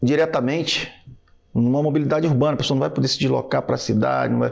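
A man speaks with a Rio de Janeiro accent. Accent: carioca. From Rio de Janeiro, Brazil. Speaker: army lieutenant and city council candidate. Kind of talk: casual podcast conversation.

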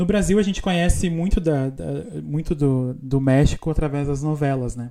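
With a southern Brazilian accent, a man speaks at a moderate pace in a fairly high voice, dark and mellow in tone, with ordinary pitch variation. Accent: gaúcho Brazilian Portuguese. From Brazil, Rio Grande do Sul interior. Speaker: podcast host. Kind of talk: casual chat.

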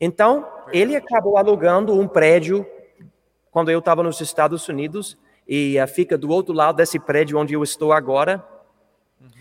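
A man with a high voice and an English accent speaks with long, frequent pauses and big swings in loudness. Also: ordinary pitch variation, moderate pace. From Colorado, US. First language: English (speaking Portuguese). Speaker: missionary pastor. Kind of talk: interview testimony.

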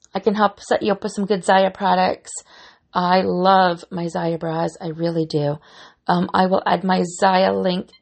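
Her pitch, mid-range for a woman, rises and falls in a typical way. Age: 40s. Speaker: fitness podcast host. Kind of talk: solo podcast monologue. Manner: animated.

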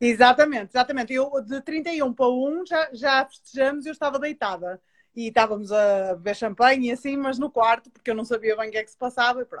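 A woman's high voice carries ordinary pitch variation and moves fairly quickly. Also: dry, close sound with no echo. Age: 30s. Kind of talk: interview.

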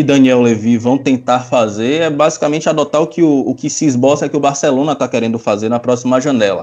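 A man with a Bahian accent talks at a fairly quick pace. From Bahia, Brazil. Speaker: football podcast panelist. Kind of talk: casual chat.

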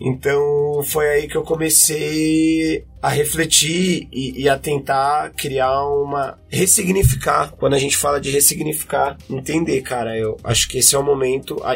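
A man speaks at a fairly slow pace with hardly any pauses. His intonation is fairly even, and background noise is noticeable. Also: fairly high pitch for a man. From São Paulo, Brazil (west zone, Butantã). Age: 30s. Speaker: musician and MC. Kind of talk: interview testimony.

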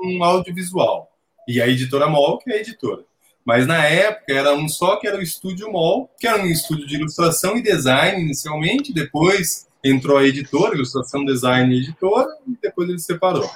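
Lively in intonation, a man with a high pitch talks at a fairly quick pace. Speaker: comics illustrator. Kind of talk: casual chat.

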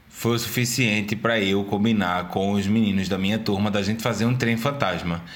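A man talks fairly quickly, with noticeable background noise behind him. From Brazil, Pernambuco (Recife area). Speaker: podcast co-host. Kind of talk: casual chat.

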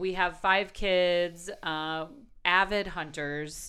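Speaking very slowly with a Wisconsin accent, a woman uses a fairly low pitch, a bright, sharp tone and monotone, flat intonation. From Milwaukee, Wisconsin. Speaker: country radio host and blogger. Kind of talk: casual interview.

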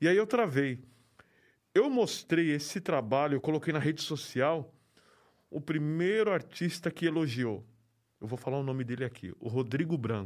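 In a very clean recording with a silent background, a man with a fairly high pitch and lively intonation speaks at a moderate pace with long, frequent pauses. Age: 40s. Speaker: graffiti artist. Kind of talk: interview.

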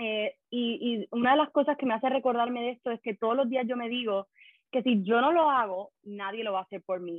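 A woman talks in a normal speaking voice, fairly high-pitched, at a fairly quick pace with ordinary pitch variation. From Puerto Rico. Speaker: life coach. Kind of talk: podcast interview.

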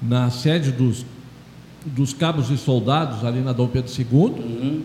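A man speaks at a fairly slow pace. Noticeable background noise runs beneath him. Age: 70s. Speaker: president of a municipal council for the elderly. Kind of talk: radio interview. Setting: radio studio. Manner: halting.

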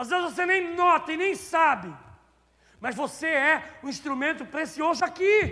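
Animated and lively in intonation, a man speaks at a fairly slow pace. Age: 50s. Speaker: pastor. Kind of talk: sermon. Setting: church.

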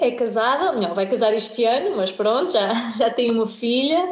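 Amid noticeable background noise, a woman talks at a moderate pace with very wide pitch swings. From Portugal, Algarve (Tavira). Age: 20s. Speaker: blogger. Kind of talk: interview. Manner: hesitant, many fillers.

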